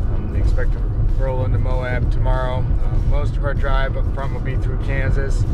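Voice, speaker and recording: A man is heard over loud background noise, his voice dry with no echo. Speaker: road trip vlogger. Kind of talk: casual vlog chat. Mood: relaxed, upbeat. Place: car. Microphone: phone near.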